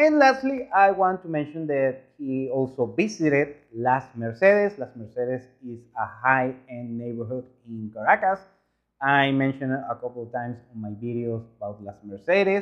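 With a Spanish accent, a man speaks at a moderate pace and medium pitch, his intonation lively and his loudness swinging widely. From Venezuela. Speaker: YouTuber reacting to travel videos. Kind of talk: video commentary.

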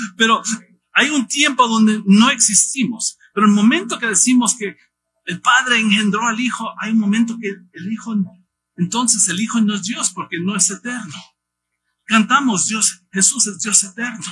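A raised, projected voice with a bright, sharp tone, ordinary pitch variation and a moderate pace. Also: man, high pitch for a man. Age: 50s. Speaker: missionary pastor. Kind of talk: sermon.

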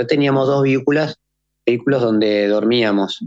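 The man's voice shows ordinary pitch variation. The sound is dry and close, with no echo. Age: 40s. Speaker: ultrarunner. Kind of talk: interview. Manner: halting, with frequent repetitions.

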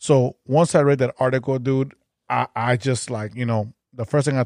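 On a very clean recording with a silent background, a man in a Chicago accent speaks at medium pitch with a dark, mellow tone. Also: dry, close sound with no echo. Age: 40s. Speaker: podcast host. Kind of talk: casual chat.

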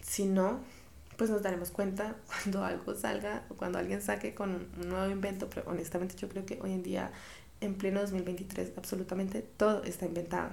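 A woman speaks with fairly even intonation. Room echo is audible, along with noticeable background noise. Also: medium pitch for a woman, moderate pace. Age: 20s. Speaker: podcast host, fashion creative director. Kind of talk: casual monologue.

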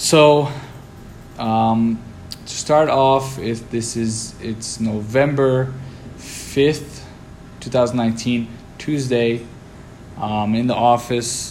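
A man's medium-pitched voice at a very slow pace, with long, frequent pauses and fairly even intonation, amid noticeable background noise and audible room echo. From Lebanon and Brazil. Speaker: business owner, podcast host. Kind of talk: solo podcast monologue. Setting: office.

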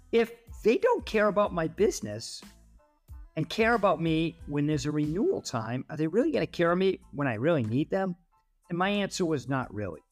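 A man with an American accent, high-pitched, at a fairly quick pace with very wide pitch swings, music in the background. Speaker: podcast host, company CEO. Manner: conversational monologue, rhetorical questions.

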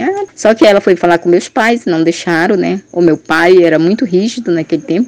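At a moderate pace, a woman speaks with a plain, everyday voice and lively intonation. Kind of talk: testimony.

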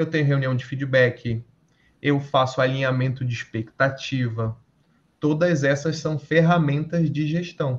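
At a fairly slow pace, a man with a fairly high pitch sounds somewhat breathy, his intonation fairly even. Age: 30s. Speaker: entrepreneur and electrical engineer. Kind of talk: casual interview.

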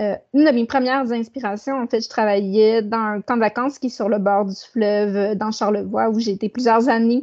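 A woman's normal speaking voice, fairly high and fairly even in intonation, at a moderate pace with hardly any pauses and a quiet background. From Quebec, Saguenay. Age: 30s. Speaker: author and publisher. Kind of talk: interview.

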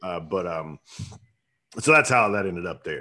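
In a Southern US accent, a man talks at a moderate pace against a quiet background. His pitch is very deep and low, and his tone is bright and sharp. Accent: Southern American. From US South, upstate South Carolina. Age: 40s. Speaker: soap business owner, Marine veteran. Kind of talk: casual interview chat.

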